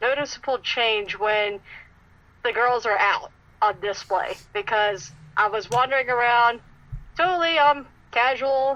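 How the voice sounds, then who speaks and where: A fairly slow, lively-intoned delivery with an American accent, long and frequent pauses, and a bright, sharp tone. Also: woman. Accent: Southern US accent, toned down. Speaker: cosplayer. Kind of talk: podcast interview.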